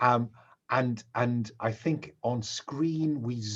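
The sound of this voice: Here is an unforced reading voice. Pitch rises and falls in an ordinary way.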